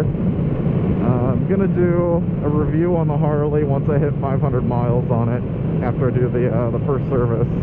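A man's voice sounds dry and echo-free against loud background noise. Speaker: motorcycle vlogger. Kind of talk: casual vlog chat. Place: motorbike.

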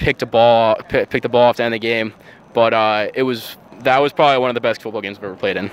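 A man talks at a very fast pace in a medium pitch with fairly even intonation. The sound is dry, with no echo. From Long Island, New York; New York. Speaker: college football player and ROTC student. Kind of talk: interview. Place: waterside. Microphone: handheld.

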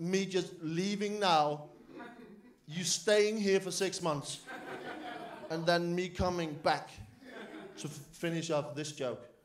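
Over light background noise, a man with a Danish accent speaks very slowly in a high voice, ordinary in pitch variation, with long, frequent pauses. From Denmark. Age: 20s. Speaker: comedian. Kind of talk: stand-up. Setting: stage with audience. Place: cafe.

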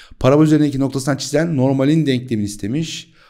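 Against a quiet background, a man speaks in a dark, mellow tone with vocal fry. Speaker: math teacher. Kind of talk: tutorial. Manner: animated. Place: home room. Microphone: studio mic.

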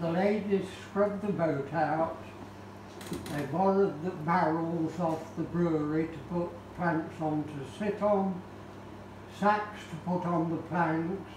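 A high-pitched man speaks at a very slow pace. Noticeable background noise and audible room echo surround him. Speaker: speaker. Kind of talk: lecture. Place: hall. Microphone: camera far.

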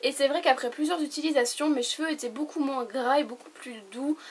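A woman speaks at a moderate pace. Her pitch is high, with fairly even intonation. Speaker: beauty YouTuber. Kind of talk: product review vlog. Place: home room. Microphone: camera far.

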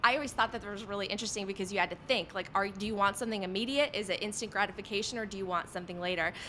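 A woman speaks with a General American accent and ordinary pitch variation. Her tone is bright and sharp, with light background noise. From Poland, raised in Illinois. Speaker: podcast host and former TV journalist; podcast host, former TV journalist. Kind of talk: interview on audio chat. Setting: online audio room. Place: home room. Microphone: studio mic.

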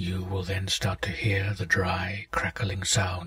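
A reading voice that sounds unforced

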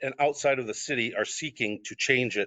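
A man with an American accent and an unremarkable speaking voice talks at a moderate pace, medium in pitch, with ordinary pitch variation. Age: 60s. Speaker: city council applicant. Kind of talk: public comment speech. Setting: council meeting. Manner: formal.

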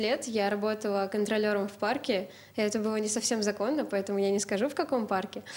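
Speech at a fairly quick pace, with fairly even intonation and very even loudness throughout. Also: woman. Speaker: university student; talk show guest. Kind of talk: studio discussion. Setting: TV studio. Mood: relaxed, smiling. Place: studio. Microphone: handheld.

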